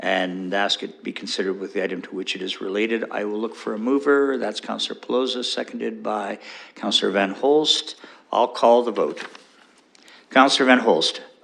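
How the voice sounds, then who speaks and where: Someone speaks at a fairly quick pace with ordinary pitch variation against noticeable background noise. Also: man, medium pitch for a man. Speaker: mayor chairing city council. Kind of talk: council meeting chairing. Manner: fast.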